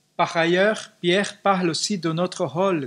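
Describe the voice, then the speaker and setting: A man talks at a very slow pace on a very clean recording with a silent background. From Brazil. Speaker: pastor. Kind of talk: sermon.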